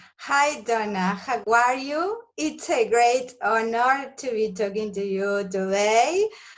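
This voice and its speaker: A woman with a Spanish accent talks at a fairly high pitch and a very slow pace. She hardly pauses, and her pitch varies in an ordinary way. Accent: non-native English, Spanish speaker. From Argentina. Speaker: nutritionist. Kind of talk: interview.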